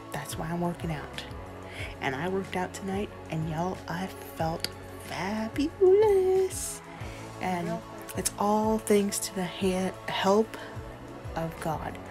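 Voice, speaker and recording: A woman speaks at a very slow pace, leaving long, frequent pauses. Clear music plays in the background. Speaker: vlogger. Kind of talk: casual vlog chat. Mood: earnest, personal, faith-filled. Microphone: phone near.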